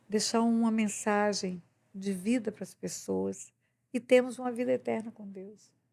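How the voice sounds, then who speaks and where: Speaking at a fairly slow pace, a woman uses a fairly high pitch and a dark, mellow tone with fairly even intonation. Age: 70s. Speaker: pastor. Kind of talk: podcast interview, preaching.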